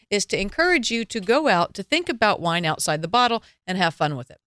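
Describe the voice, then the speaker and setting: In a Southern US accent, a woman speaks at a medium pitch with very wide pitch swings. The recording is very clean, with a silent background and a dry, close sound with no echo. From US South. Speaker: wine radio show host. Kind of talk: casual radio talk and interview. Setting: studio.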